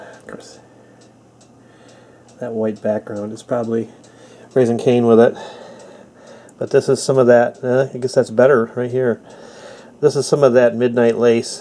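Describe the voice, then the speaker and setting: A man's medium-pitched, monotone, flat delivery at a moderate pace, broken by long, frequent pauses, with noticeable background noise. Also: big swings in loudness. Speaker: flintknapper. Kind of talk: casual talk to camera.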